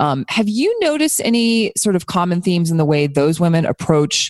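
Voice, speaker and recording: A woman with an American accent talks at a fairly slow pace, the sound dry and close with no echo. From US South. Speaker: podcast host. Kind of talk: casual interview chat.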